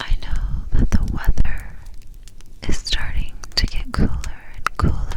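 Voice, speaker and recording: A woman whispers over noticeable background noise. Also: fairly slow pace. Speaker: ASMR Bible reader. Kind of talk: ASMR introduction to camera. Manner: soft-spoken.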